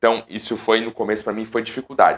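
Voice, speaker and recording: A man at a very fast pace, animated in tone. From São Paulo city, Brazil; Brazil. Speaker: professional futsal goalkeeper and youtuber; youtuber. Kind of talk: casual vlog talk to viewers. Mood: nostalgic, amused. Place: home room. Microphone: lapel.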